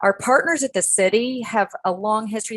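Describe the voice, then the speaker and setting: A woman at medium pitch speaks with ordinary pitch variation in a dry, close sound with no echo. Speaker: conservation researcher presenting a study. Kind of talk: webinar presentation. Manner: fast.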